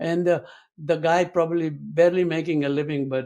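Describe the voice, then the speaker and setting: A man speaks with a dark, mellow tone and fairly even intonation. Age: 70s. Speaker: historian and author. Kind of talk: interview conversation. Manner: halting, many fillers.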